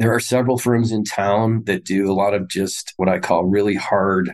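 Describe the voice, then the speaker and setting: A man's plain, everyday voice, fairly low in pitch, with ordinary pitch variation, a moderate pace, and a quiet background. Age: 50s. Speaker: investment firm president. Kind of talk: interview.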